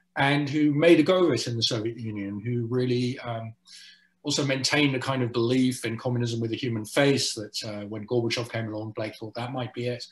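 The voice belongs to a man and is somewhat breathy. He keeps a moderate pace. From South Africa and the Netherlands. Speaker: journalist and author; journalist. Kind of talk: interview on panel. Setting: video call. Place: home room. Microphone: webcam.

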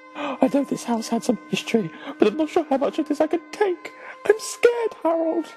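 Very wide pitch swings mark a woman's high voice at a moderate pace. Clear music plays in the background.

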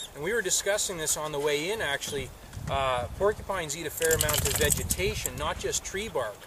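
The speech moves at a very fast pace. The sound is dry with no echo, over noticeable background noise. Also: man. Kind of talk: casual explanation to camera. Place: open country.

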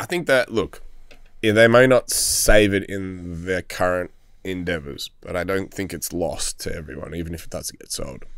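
Against a quiet background, a man with an Australian accent talks at a moderate pace, his loudness swinging widely in a dry sound with no echo. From Melbourne, Australia. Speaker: hospitality business owner; podcast guest. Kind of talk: casual chat. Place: studio. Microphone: studio mic.

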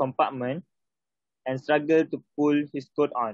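Over a quiet background, a man speaks with fairly even intonation in a dry sound with no echo. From Malaysia. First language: Malay. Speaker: English learner. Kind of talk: reading aloud. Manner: halting. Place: home room. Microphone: phone near.

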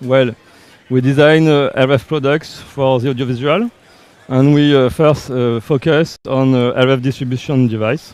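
A man speaks fairly slowly with a French accent. His loudness stays very even and his intonation fairly even. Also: dry sound with no echo. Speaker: company representative presenting RF products. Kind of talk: live product demo interview. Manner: halting, uncertain English. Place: hall. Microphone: headset.

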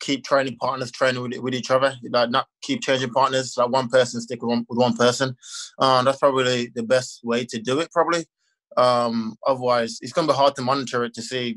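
The background is quiet. A man talks with monotone, flat intonation. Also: fairly quick pace. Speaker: guest. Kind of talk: interview answer. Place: home room. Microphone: video call.

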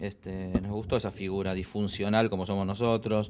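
The pace of this man's speech is fairly quick. His delivery stays monotone and flat. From Argentina, Buenos Aires. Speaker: rock band singer and lyricist. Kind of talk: casual interview. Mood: relaxed, reflective. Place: office. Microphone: handheld.

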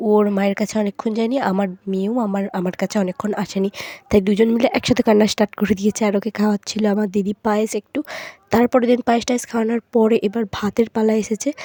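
Recorded with a dry, close sound and no echo, a woman speaks in a fairly high, monotone voice with flat intonation. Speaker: family vlogger. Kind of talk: vlog narration. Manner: casual, chatty.

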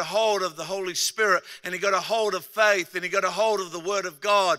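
With an Australian accent, a man projects a raised, high-pitched voice with a bright, sharp tone, talking fairly quickly in a flat monotone against a quiet background. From Australia, Adelaide. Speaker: pastor. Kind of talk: sermon. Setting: stage with audience. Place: stage. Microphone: handheld.

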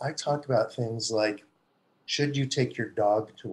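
A man speaks at a fairly slow pace, somewhat breathy. His intonation stays fairly even. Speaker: venture investor and executive. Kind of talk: interview. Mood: wry, humorous storytelling.

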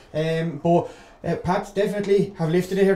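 Man with an Irish accent, fairly even intonation, audible room echo. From Ireland. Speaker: co-commentator analyst. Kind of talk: live co-commentary, analysis. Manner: conversational, measured. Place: stadium.

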